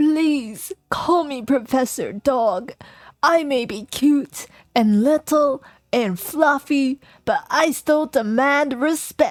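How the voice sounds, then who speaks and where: In a put-on character voice, a woman talks at a very slow pace with a high pitch. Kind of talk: professorial. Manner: stern, dignified, demanding respect.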